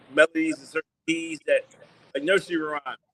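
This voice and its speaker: The sound is dry and close with no echo as a man speaks at a fairly high pitch with monotone, flat intonation. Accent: New York. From New York (Long Island). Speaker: DJ and music executive. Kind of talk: interview. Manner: halting, repetitive.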